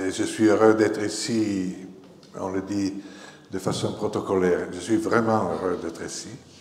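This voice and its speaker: Very slowly and with fairly even intonation, a man speaks in an Italian accent at a fairly low pitch, with audible room echo. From northern Italy, Novara. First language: Italian (speaking French). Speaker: journalist and author. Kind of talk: public lecture.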